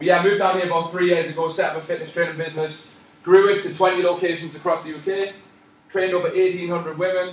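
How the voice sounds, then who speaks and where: Very fast and high-pitched, a man speaks with a Newcastle accent. Audible room echo and noticeable background noise accompany him. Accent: Newcastle (Geordie), noticeable. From northern England, Newcastle. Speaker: personal trainer. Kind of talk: live presentation. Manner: fast when excited; animated.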